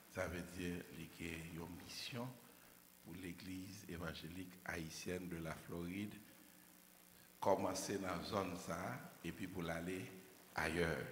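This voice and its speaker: With a very deep, low pitch and a somewhat breathy sound, a man talks at a very slow pace with long, frequent pauses, amid audible room echo and light background noise. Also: fairly even intonation. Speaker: preacher. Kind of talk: sermon. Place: church.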